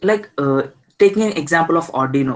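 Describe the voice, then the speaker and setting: Music in the background behind a man's moderately paced speech with ordinary pitch variation. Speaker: student engineer sharing experience. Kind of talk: informal talk in online session. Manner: halting.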